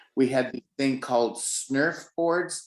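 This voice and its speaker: In an ordinary speaking voice, a man with an American accent talks at a fairly slow pace, medium in pitch with ordinary pitch variation. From Denver, Colorado. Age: 60s. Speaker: pianist. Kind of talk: interview. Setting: video call.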